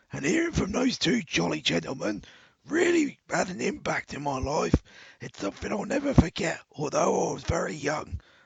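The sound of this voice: A man's raspy, put-on character voice, high in pitch, at a moderate pace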